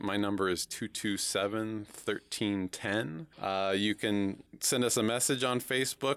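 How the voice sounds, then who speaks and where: A man with an American accent has an unremarkable speaking voice, fairly low in pitch with fairly even intonation. The sound is dry and close, with no echo. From US West Coast (Oregon). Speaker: charity auction chairman. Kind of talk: radio interview.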